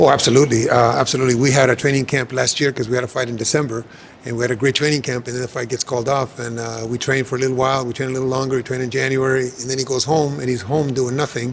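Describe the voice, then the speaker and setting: Over noticeable background noise, a man talks very fast at a medium pitch with monotone, flat intonation. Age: 70s. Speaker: boxing trainer. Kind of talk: interview.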